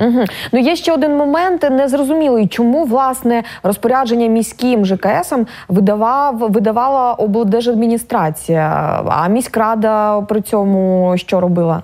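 In a quiet background, a woman with a plain, everyday voice speaks at a fairly slow pace, her fairly high pitch carrying lively intonation. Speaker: TV news presenter. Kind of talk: news broadcast and interview. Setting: studio. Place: studio. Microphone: lapel.

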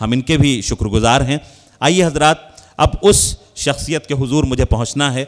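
A man is talking. The background is quiet. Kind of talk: formal stage announcement introducing a poet. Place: hall.

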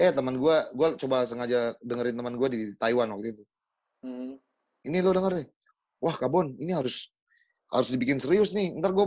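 A man talks at a fairly quick pace against a quiet background. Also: lively intonation. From Papua, Indonesia; Indonesia. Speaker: singer-songwriter; guest. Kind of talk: casual chat. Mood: relaxed, animated casual talk. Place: home room. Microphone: video call.

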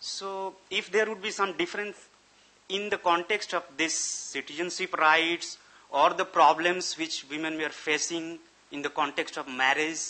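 A man's high-pitched voice, fairly slow and with fairly even intonation. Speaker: research fellow. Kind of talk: Q&A question. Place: meeting room. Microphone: podium.

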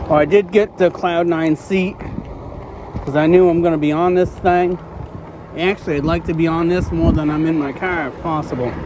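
The speech moves at a moderate pace. The sound is dry with no echo, and there is noticeable background noise. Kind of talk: casual vlog chat. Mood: relaxed, content. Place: bicycle. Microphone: phone near.

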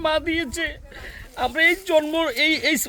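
A man with an extremely high pitch and fairly even intonation, over noticeable background noise. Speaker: homeopathic doctor. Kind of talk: casual chat.

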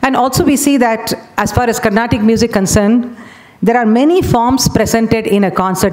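With ordinary pitch variation, the talking proceeds at a fairly quick pace. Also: woman. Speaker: conference presenter. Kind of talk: lecture. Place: hall. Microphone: podium.

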